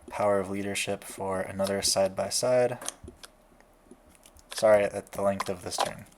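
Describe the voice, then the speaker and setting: A man speaks quietly at a moderate pace in a monotone, flat voice with a fairly low pitch. He leaves long, frequent pauses. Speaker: card game content creator. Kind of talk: gameplay commentary.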